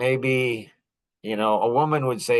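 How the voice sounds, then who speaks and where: A man talks with ordinary pitch variation at a moderate pace. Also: quiet background. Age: 60s. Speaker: podcast host. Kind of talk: monologue podcast. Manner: animated.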